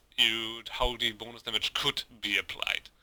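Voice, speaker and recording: With a German accent, a man talks in a bright, sharp tone, the sound dry and close with no echo. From Germany. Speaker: gaming video creator. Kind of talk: gameplay tutorial. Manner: halting, many fillers.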